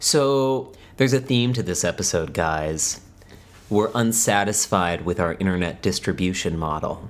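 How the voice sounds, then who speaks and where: This man has a normal speaking voice, fairly low in pitch, with lively intonation. He speaks at a moderate pace in a very clean recording with a silent background. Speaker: podcast co-host. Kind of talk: casual banter. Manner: joking, playful.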